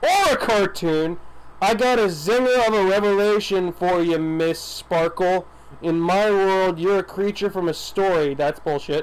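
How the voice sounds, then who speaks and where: A man does a put-on character voice at a high pitch, with clear background noise behind him. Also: moderate pace. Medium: game stream.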